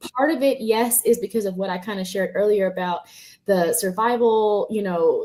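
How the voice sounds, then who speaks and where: A woman speaks at a medium pitch and a moderate pace, with ordinary pitch variation. She has an unremarkable speaking voice. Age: 30s. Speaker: social worker. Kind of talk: interview.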